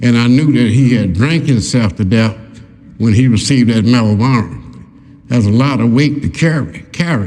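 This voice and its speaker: Over noticeable background noise, a man with a medium-pitched voice speaks at a moderate pace, keeping his loudness very even and his pitch variation ordinary. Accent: American. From Oklahoma, USA. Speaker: war veteran. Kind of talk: public talk to live audience. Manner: conversational, storytelling.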